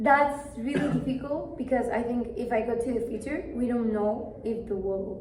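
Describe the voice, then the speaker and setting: With a Spanish accent, a woman speaks at a high pitch and a moderate pace with ordinary pitch variation and hardly any pauses, amid noticeable background noise and audible room echo. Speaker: language student. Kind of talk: speaking exam conversation. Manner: halting.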